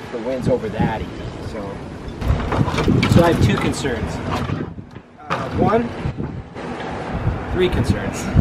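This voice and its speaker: Loud background noise surrounds a man as he talks. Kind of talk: casual vlog chat. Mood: upbeat, excited. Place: waterside.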